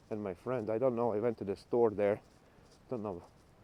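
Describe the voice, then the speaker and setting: A fairly quick, fairly evenly intoned delivery in a Latvian accent. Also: man. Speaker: travel vlogger. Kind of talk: casual walking vlog. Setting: outdoors.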